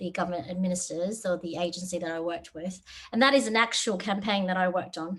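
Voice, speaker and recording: Talking at a very fast pace in an Australian accent, a woman uses a medium pitch with ordinary pitch variation. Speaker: software developer. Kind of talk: webinar talk. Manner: hesitant, many fillers.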